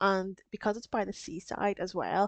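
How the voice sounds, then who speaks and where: A woman's voice with a strong Northern Irish accent. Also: dry, close sound with no echo. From Northern Ireland. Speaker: small business craft streamer. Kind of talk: casual live stream chat. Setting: live stream.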